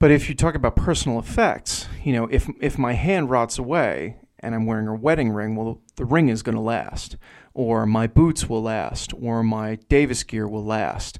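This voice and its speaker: In a very clean recording with a silent background, a man with an American accent speaks at a moderate pace, medium in pitch with ordinary pitch variation. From New Jersey. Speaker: author and journalist. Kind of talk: casual interview chat. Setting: studio.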